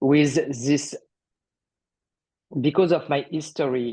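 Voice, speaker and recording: The speaker has a French accent. The background is quiet. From France. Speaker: artist sharing healing story. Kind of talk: interview testimony. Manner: halting.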